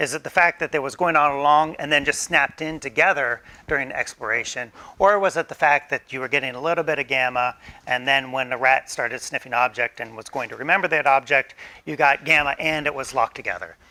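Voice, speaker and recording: The speech moves at a very fast pace. Its pitch varies in an ordinary way. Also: man, fairly high pitch for a man. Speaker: neuroscience professor. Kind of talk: lecture.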